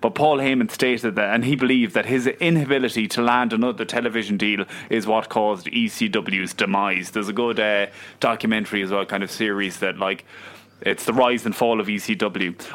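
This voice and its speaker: A man with an Irish accent talks at a fairly quick pace, using a medium pitch and ordinary pitch variation. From Ireland. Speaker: podcast co-host. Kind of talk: casual chat.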